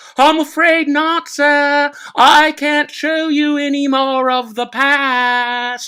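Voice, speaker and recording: A woman uses a put-on character voice, high-pitched and breathy. She speaks very slowly, with hardly any pauses. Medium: read story. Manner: polite, airy.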